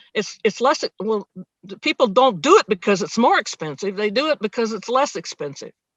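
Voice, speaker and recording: At a fairly quick pace, a woman with a fairly high pitch talks with very wide pitch swings and big swings in loudness. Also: dry, close sound with no echo. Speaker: nomad and film actor. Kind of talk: interview.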